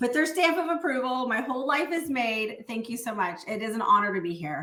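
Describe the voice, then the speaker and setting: Energetic and fairly quick, a woman speaks at a high pitch with very wide pitch swings over noticeable background noise. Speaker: network marketing distributor. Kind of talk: podcast interview.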